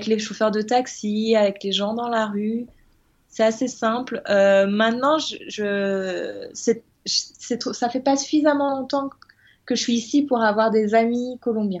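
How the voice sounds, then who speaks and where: Her voice is fairly high in pitch. The woman's delivery is very slow. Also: ordinary pitch variation. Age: 30s. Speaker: web designer. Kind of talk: interview.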